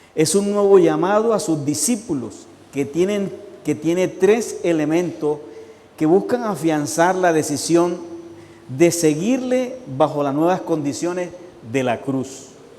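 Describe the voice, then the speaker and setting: A man speaks in a high pitch at a fairly slow pace with lively intonation. Noticeable background noise and audible room echo fill the recording. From Colombian Caribbean coast. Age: 60s. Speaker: pastor. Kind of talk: sermon.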